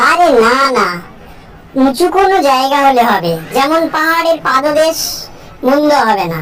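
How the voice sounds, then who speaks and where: A cartoonish character voice with a high pitch comes through over clear background noise. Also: female-sounding voice, moderate pace. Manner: exasperated, dryly sarcastic.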